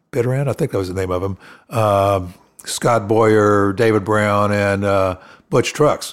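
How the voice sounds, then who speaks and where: A man's fairly low voice with an American accent, fairly even intonation and a fairly slow pace. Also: very clean recording, silent background. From Florida. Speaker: keyboard player. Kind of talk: casual interview. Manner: halting.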